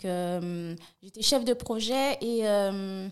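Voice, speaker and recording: A woman speaks in a medium pitch. Her pitch variation is ordinary. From France, Paris suburbs. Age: 30s. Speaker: nail technician and online shop founder. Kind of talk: interview.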